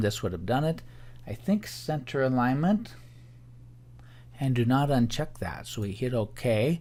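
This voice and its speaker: An unremarkable speaking voice from a man at a medium pitch and moderate pace. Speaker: teacher. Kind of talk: tutorial.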